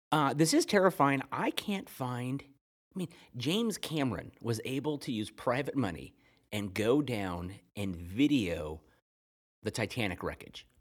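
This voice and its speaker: Vocal fry marks this fairly slow delivery with very wide pitch swings. The recording is very clean, the background silent. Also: man, medium pitch for a man. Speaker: podcast co-host. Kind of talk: casual chat.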